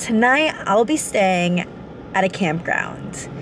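A woman speaks very slowly in a dry sound with no echo, with light background noise behind her. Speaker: travel vlogger. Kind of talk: casual vlog chat. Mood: cheerful storytelling. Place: car. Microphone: phone near.

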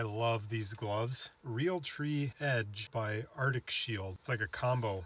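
A man's voice shows ordinary pitch variation, with a dry sound and no echo. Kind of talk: tutorial. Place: open country. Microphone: camera far.

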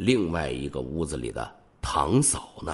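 With a very deep, low pitch and vocal fry, a man talks at a fairly slow pace using lively intonation. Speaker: true crime podcast host. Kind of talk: true crime storytelling narration. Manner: conversational with many filler particles.

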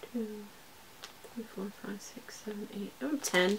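Noticeable background noise sits behind a woman's voice. She speaks fairly slowly at a fairly high pitch. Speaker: cross-stitch video blogger. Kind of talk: casual haul video talk. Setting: home video recording. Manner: hesitant with frequent fillers.

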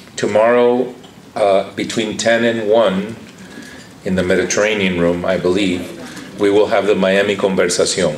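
With a Cuban-American accent, a man speaks at a fairly low pitch with fairly even intonation and very even loudness over noticeable background noise. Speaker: architect and professor. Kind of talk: conference speech. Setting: conference hall with live audience.

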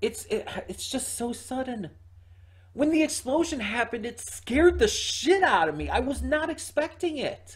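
Someone in a put-on character voice speaks at a moderate pace, sounding strained and high-pitched. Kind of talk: casual reaction commentary. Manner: strained, struggling to speak. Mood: shocked, overwhelmed.

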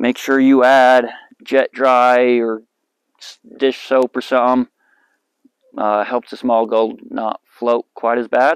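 In a quiet background with a dry sound and no echo, a man speaks at a fairly slow pace with monotone, flat intonation. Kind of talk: tutorial. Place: open country.

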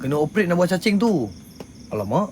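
A loud man at a very fast pace, his pitch swinging very widely. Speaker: paranormal live streamer. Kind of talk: casual live stream chat. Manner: blunt, rough-spoken.

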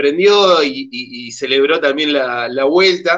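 A man speaks with an Argentine accent. His pitch varies in an ordinary way. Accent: Argentine Spanish (Rioplatense). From Argentina. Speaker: community TV host. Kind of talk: casual chat. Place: home room. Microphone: video call.

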